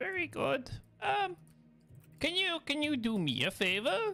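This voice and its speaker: This is a put-on character voice with a high pitch. The delivery is fairly slow. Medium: actual play. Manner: jovial, welcoming.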